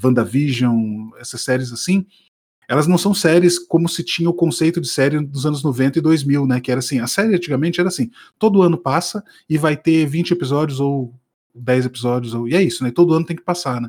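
In a very clean recording with a silent background, a man delivers his words fairly quickly, his pitch varying in an ordinary way. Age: middle-aged. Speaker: podcast co-host. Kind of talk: casual chat.

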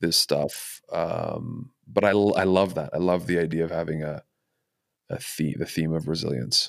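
On a very clean recording with a silent background, a man with a Californian accent speaks at a fairly slow pace. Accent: Californian American. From Los Angeles, US. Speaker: podcast host and coach. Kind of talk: casual interview chat; scripted introduction.

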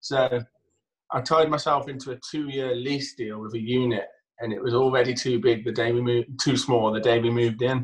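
A man speaks at a medium pitch and a fairly quick pace. His intonation is fairly even, and his voice is somewhat breathy. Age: 30s. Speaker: removals company owner. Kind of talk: casual chat. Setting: video call.

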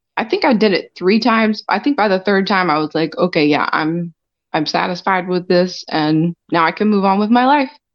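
Using lively intonation and very even loudness, a woman with a plain, everyday voice talks at a medium pitch. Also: moderate pace. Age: 40s. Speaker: podcast guest. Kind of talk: casual interview.

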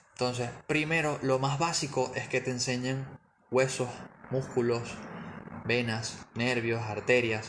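At a fairly slow pace, a man speaks at a medium pitch with fairly even intonation as audible room echo surrounds him. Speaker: physiotherapist. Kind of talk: interview.

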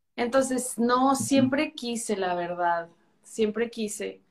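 A woman's high voice at a fairly slow pace. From Chihuahua, northern Mexico. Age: 30s. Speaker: pain medicine physician. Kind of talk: interview.

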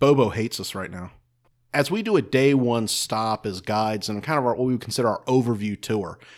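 A man speaks in an ordinary speaking voice at a medium pitch. His pace is fairly quick, and the recording is very clean with a silent background. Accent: American. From North Carolina. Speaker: battlefield guide and podcast co-host. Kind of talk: casual history discussion. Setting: recorded in a saloon.

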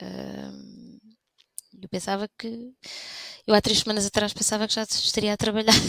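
A woman is heard here. The sound is dry and close, with no echo. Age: 40s. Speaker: lawyer on sick leave with burnout. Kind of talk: personal testimony in casual interview.

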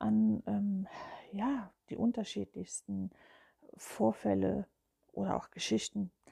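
A woman's dark, mellow tone at a very slow pace, with very wide pitch swings. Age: 50s. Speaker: spiritual podcaster. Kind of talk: personal monologue. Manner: hesitant, with filler sounds.

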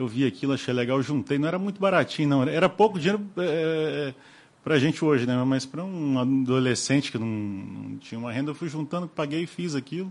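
A man speaks in a plain, everyday voice at a medium pitch. His pace is moderate and his intonation lively. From Rio de Janeiro and Cataguases, Minas Gerais. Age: 40s. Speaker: business owner. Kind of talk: interview.

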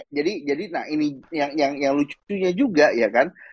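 The speaker is a man with a fairly high pitch. He has an ordinary speaking voice. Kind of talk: casual chat.

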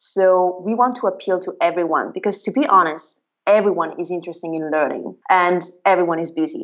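A woman with an Italian accent talks at a fairly quick pace. Her medium pitch shows ordinary variation. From northern Italy. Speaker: marketing executive. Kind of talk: interview answers, conversational.

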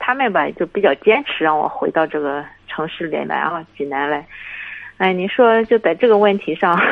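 Speaking at a moderate pace, a woman with a normal speaking voice and a fairly low pitch uses lively intonation. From Shandong, Linyi. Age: 30s. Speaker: caller. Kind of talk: call-in advice talk.

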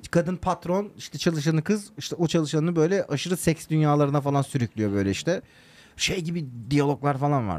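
An unremarkable speaking voice with ordinary pitch variation moves at a fairly quick pace. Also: man, fairly high pitch for a man. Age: 30s. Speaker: podcast co-host. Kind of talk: casual chat.

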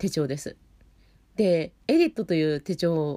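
A woman's fairly low, dark, mellow voice with a relaxed tone at a fairly slow pace. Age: 40s. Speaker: opera singer hosting a web radio show. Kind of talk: solo casual monologue. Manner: relaxed, with many fillers.

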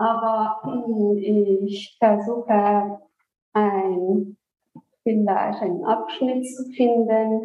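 A woman's very slow speech in monotone, flat intonation. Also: fairly high pitch for a woman. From Iran, Isfahan. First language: Persian (speaking German). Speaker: author. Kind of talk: interview. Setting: remote virtual recording. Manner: hesitant, many fillers.

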